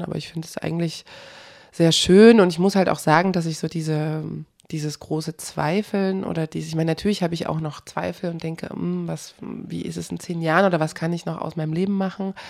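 A woman talks at a fairly quick pace with a fairly low pitch. Her intonation is monotone and flat. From eastern Germany (former GDR). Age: 30s. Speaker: journalist, documentary protagonist. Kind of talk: interview.

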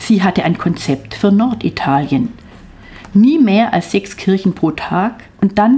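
Using a normal speaking voice at a medium pitch, a woman speaks at a fairly slow pace with lively intonation. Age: 60s. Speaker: author. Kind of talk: reading aloud. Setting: studio.

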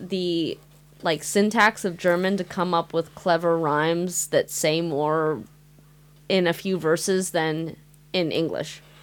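Speaking at a fairly slow pace, a woman has a fairly low pitch. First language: Mandarin. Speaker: radio host. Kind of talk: casual chat.

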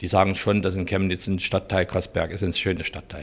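Very clean and with a silent background, the recording has a man speaking at a fairly quick pace in a very deep, low, monotone voice. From rural eastern Hungary. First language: Hungarian (speaking German). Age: 50s. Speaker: innkeeper. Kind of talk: interview.

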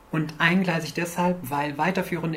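Recorded with audible room echo and noticeable background noise, a woman speaks at a moderate pace with a very deep, low pitch. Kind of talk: lecture. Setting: stage with audience. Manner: quiet, may get quieter.

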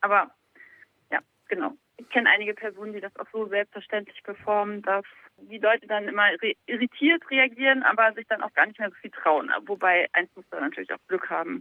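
The woman has a plain, everyday voice, fairly high in pitch with ordinary pitch variation. She talks at a fairly quick pace, with big swings in loudness. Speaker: guest calling in. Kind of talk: casual chat. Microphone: bad reception.

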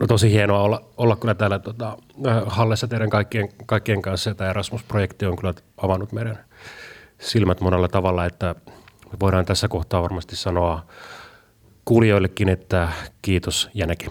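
In a Finnish accent, a man speaks at a very fast pace with a fairly low pitch, fairly even intonation, and long, frequent pauses. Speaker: youth media worker. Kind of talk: interview.

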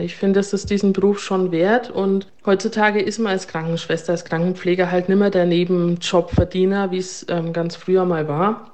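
Noticeable background noise sits under a woman whose intonation stays fairly even. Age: 30s. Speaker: nurse and ward manager. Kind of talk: interview testimony.

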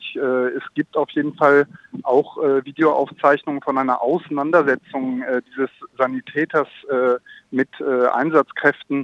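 Fairly high in pitch, a man speaks with monotone, flat intonation. He goes at a fairly slow pace with long, frequent pauses. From France. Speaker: small farmer and freelance journalist. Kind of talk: interview. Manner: halting, many fillers.

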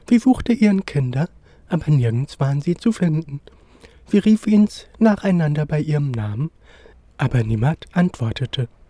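Very wide pitch swings in a man's dark, mellow tone. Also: dry, close sound with no echo. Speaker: storyteller reading a fairy tale. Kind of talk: bedtime story, scripted fairy-tale reading aloud.

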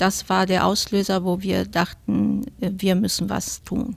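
A woman at medium pitch, very slow pace, with an Italian accent. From Italy, Rome. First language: Italian (speaking German). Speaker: retired teacher. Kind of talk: studio interview. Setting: radio studio.

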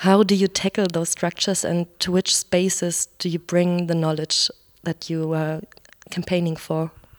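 In a German accent, a woman speaks at a moderate pace with a fairly low pitch and monotone, flat intonation, the sound dry and close with no echo. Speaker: radio reporter. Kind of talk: interview; scripted narration.

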